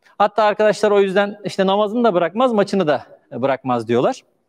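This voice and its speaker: A man with a high pitch speaks in very wide pitch swings against a quiet background. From Turkey, Manisa (Aegean region); Turkey. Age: 40s. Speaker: charity founder telling his life story; speaker. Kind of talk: personal testimony. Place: stage. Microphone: lapel.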